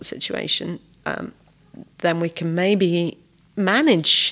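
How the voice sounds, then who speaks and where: This woman has a Welsh accent and a fairly low pitch. The recording is very clean, with a silent background. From Wales. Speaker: refugee volunteer. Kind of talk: podcast interview.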